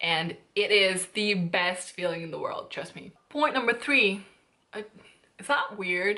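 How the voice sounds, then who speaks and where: Speaking in a Hungarian accent at a fairly slow pace, a woman uses a medium pitch and an animated tone, with big swings in loudness. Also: ordinary pitch variation. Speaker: YouTuber, language learning vlogger. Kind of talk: casual vlog tutorial.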